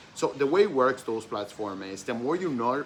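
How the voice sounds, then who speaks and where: With a non-native accent, a man talks at a moderate pace and medium pitch, his bright, sharp tone carried by lively intonation. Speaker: dropshipping mentor. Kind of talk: tutorial. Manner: hesitant, many fillers.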